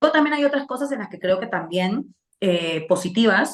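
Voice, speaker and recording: A woman with an unremarkable speaking voice, ordinary pitch variation and a moderate pace. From Peru, Lima. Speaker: political commentator. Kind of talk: interview.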